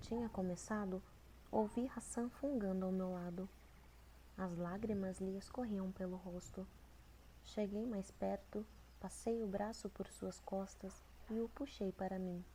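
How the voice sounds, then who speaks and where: Soft-spoken delivery at a fairly slow pace, broken by long, frequent pauses. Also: woman. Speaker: ASMR creator. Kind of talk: audiobook reading of a novel.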